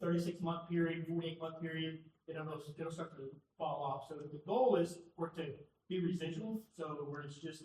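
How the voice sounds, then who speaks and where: Fairly even in intonation, a man talks in a high pitch. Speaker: police official presenting budget. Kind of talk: budget presentation to city council. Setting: council meeting in auditorium. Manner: fast.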